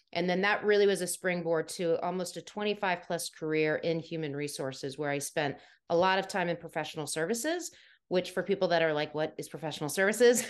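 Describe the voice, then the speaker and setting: With an American accent, a woman in a normal speaking voice talks at a fairly quick pace, her fairly low pitch showing ordinary variation against a quiet background. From US, Washington DC area. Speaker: soft skills trainer and former HR professional. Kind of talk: interview conversation.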